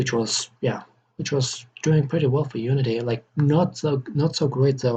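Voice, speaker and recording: At a moderate pace, a man with a non-native accent speaks in a dark, mellow, somewhat breathy tone at medium pitch with fairly even intonation. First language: not English. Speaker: game developer. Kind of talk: tutorial. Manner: halting, many repetitions and fillers.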